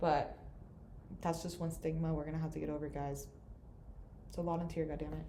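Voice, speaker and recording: A very fast woman's voice, very deep and low, with audible room echo. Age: 20s. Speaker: student. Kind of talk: casual chat.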